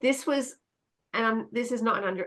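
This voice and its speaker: An Australian accent comes through as a woman speaks. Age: 60s. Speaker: children's author and science storyteller. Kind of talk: livestream talk. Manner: halting, frequent fillers and restarts.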